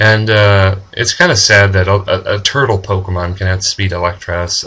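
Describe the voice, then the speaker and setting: Speaking at a moderate pace, a man with an unremarkable speaking voice keeps a fairly low pitch and fairly even intonation. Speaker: gaming commentator. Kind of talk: casual gameplay commentary.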